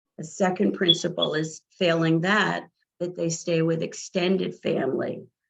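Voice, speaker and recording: A woman's fairly low voice with vocal fry, at a moderate pace. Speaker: author and adoptee speaker. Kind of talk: talk to a support group. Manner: halting.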